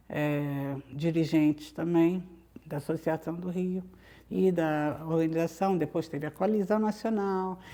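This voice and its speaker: A woman talks at a fairly slow pace with fairly even intonation and a dark, mellow tone, in a very clean recording with a silent background. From Brazil, Rio de Janeiro (Copacabana). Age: 60s. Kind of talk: interview. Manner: hesitant, many fillers and restarts.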